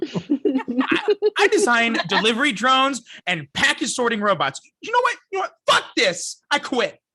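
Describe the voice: A man's put-on character voice, extremely high with very wide pitch swings, a bright, sharp tone and a slightly husky edge, at a fairly slow pace with long, frequent pauses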